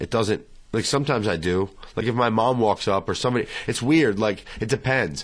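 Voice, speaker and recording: Here is a man with a plain, everyday voice at a medium pitch. He speaks at a fairly quick pace with ordinary pitch variation. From southern Pennsylvania (Littlestown), southern family ties. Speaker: musician. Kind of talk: casual chat.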